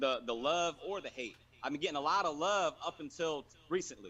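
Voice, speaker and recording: With ordinary pitch variation, the voice carries a bright, sharp tone. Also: man. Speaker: poker player. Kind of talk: heated phone-in interview. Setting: call from outside a store. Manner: fast.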